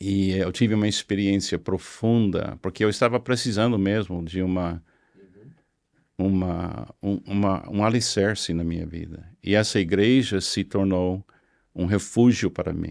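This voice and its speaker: Speaking at a fairly slow pace with an English accent, a man's fairly low voice comes through a very clean recording with a silent background. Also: fairly even intonation. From US South, Florida (Miami). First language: English (speaking Portuguese). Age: 70s. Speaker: pastor. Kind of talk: interview testimony. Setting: studio.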